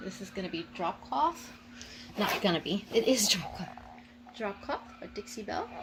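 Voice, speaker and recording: With lively intonation and a fairly high pitch, a woman speaks at a moderate pace with long, frequent pauses over noticeable background noise. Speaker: furniture painter and vintage seller. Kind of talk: casual DIY tutorial vlog. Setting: home workshop, sitting on the ground. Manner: chatty, informal.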